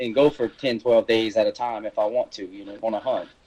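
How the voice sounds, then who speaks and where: Recorded dry and close with no echo, the speaker talks at a fairly quick pace in a South Louisiana accent. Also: man. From South Louisiana, coast. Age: 40s. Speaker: hunter and taxidermist. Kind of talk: podcast interview.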